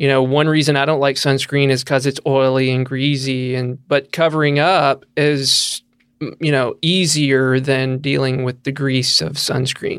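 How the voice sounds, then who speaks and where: With a Southern US accent, a man speaks at a fairly slow pace in a fairly high pitch and fairly even intonation. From rural Tennessee. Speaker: cancer researcher, professor. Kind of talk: interview.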